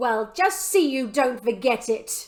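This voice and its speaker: A woman puts on a character voice, shrill and growling, at a high pitch. She goes at a fairly slow pace with lively intonation. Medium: read story. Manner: nagging, suspicious.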